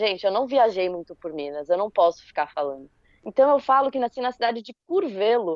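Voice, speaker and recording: The speaker has a slight São Paulo accent and moves at a fairly quick pace. Pitch swings very widely and loudness rises and falls a great deal. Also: woman, medium pitch for a woman. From Brazil, São Paulo (ABC Paulista). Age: 30s. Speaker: backpacker, podcast guest. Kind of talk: casual podcast chat.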